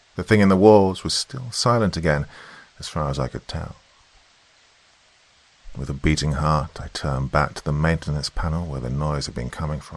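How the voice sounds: A man talks at a moderate pace with an extremely low pitch. His pitch variation is ordinary.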